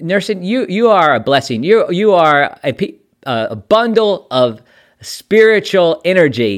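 A man's high voice with very wide pitch swings at a fairly slow pace, on a very clean recording with a silent background. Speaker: podcast host, Salvation Army officer. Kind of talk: casual interview.

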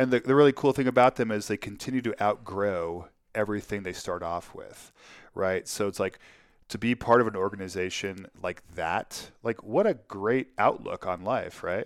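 A man's ordinary speaking voice, fairly low-pitched with ordinary pitch variation and a moderate pace, in a dry, close sound with no echo on a very clean recording with a silent background. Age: 50s. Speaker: winemaker. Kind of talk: casual chat.

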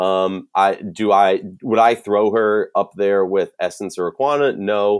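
Fairly low male voice in an American accent, fairly slow, on a very clean recording with a silent background. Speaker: sports podcast host. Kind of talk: casual sports analysis chat. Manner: casual, jokey, enthusiastic.

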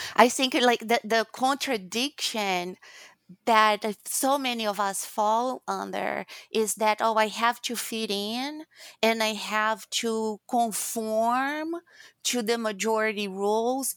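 Speaking very slowly with a Brazilian accent, a woman with a fairly high pitch and ordinary pitch variation comes through a very clean, silent-background recording that sounds dry and close, with no echo. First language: Portuguese. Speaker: guest, former HR executive. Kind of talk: casual interview conversation.

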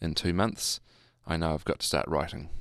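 Here a man speaks with a New Zealand accent in a very deep, low pitch. The background is quiet. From New Zealand, Hamilton. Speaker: jazz musician and music tutor. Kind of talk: casual interview.

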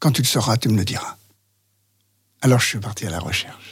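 This man talks at a fairly quick pace. Vocal fry runs through his voice. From France, Lyon area. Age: 70s. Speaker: interview guest recounting his life. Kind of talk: personal testimony interview. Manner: halting.

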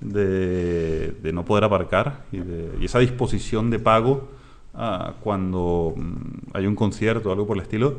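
Audible room echo surrounds a man's fairly low voice, which has ordinary pitch variation. He speaks at a fairly slow pace. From Latin America. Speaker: startup founder and CEO. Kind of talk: interview.

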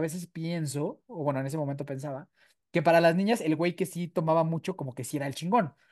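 This man talks at a fairly quick pace. His voice sits high in pitch. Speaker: podcast co-host, recovering addict. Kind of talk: casual chat.

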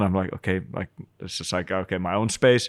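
A man with a Finnish accent and ordinary pitch variation, on a very clean, dry recording with a silent background and close sound with no echo. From Finland. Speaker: screenwriter and creative industry veteran. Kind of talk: casual chat. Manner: halting.

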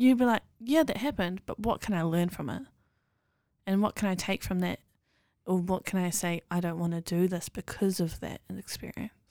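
Recorded very cleanly against a silent background, the dry, close voice has a dark, mellow tone, a New Zealand accent, ordinary pitch variation and a moderate pace. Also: woman, medium pitch for a woman. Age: 20s. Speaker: podcast guest. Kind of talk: casual chat.

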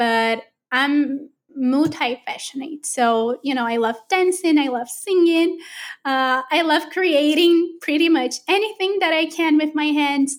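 A woman with a Portuguese accent, high pitch, ordinary pitch variation and fairly slow pace. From Brazil. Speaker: artist and creative mentor. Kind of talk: casual interview chat.

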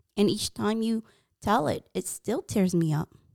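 A woman with an American accent and a dark, mellow tone, at a moderate pace, in a dry, close sound with no echo. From US, Hmong American family. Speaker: podcast co-host and interviewer. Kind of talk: reflective interview. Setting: studio.

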